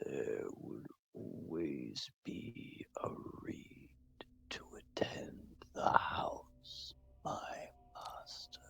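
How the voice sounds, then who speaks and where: An extremely high-pitched put-on character voice growls while staying soft-spoken. The pace is very slow, with long, frequent pauses. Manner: deferential.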